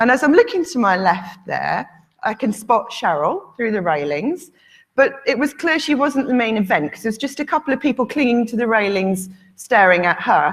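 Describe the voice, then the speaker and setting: In a northern English accent, a woman speaks at a moderate pace on a very clean recording with a silent background. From northern England. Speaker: conference speaker. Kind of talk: conference talk. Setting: stage with audience.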